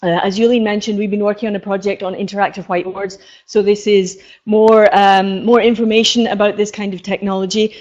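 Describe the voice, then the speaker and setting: In a Scottish accent, this voice rushes along at a very fast pace with monotone, flat intonation. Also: woman, medium pitch for a woman. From Scotland. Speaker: professor. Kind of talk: conference lecture. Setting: stage with audience. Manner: hesitant.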